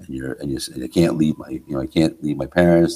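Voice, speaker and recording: In a New Jersey accent, a man speaks with a dark, mellow tone. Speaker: rock drummer. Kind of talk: podcast interview answer.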